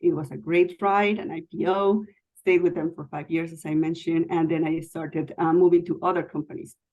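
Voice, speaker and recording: Her voice has a dark, mellow tone and a non-native accent. The woman speaks at a fairly quick pace in a monotone, flat way. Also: fairly low pitch for a woman. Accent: foreign. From Mexico City. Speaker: IT executive. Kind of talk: interview.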